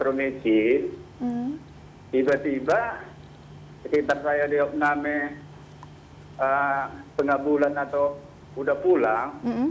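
A man speaks at a fairly high pitch with ordinary pitch variation. His pace is very slow, broken by long, frequent pauses. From Medan, North Sumatra. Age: 50s. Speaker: caller, tuberculosis patient. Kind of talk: phone-in question.

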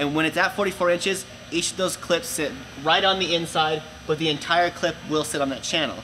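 Over faint background noise, a man talks at a fairly quick pace in a bright, sharp tone with fairly even intonation. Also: fairly high pitch for a man.

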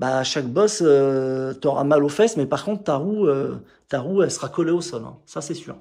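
Over a quiet background, a man talks in a fairly high pitch with ordinary pitch variation. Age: 50s. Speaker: motorcycle mechanic YouTuber. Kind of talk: casual vlog and bike walkthrough. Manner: hesitant, many filler words. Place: workshop. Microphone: phone near.

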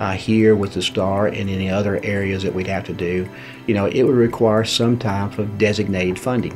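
Over clear background music, a man talks at a fairly quick pace in a fairly low voice with ordinary pitch variation. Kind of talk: interview answer. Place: office.

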